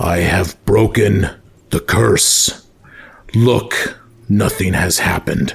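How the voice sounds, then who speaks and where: A man's booming, put-on character voice, fairly low in pitch, at a very slow pace with long, frequent pauses and ordinary pitch variation. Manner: commanding, declaring.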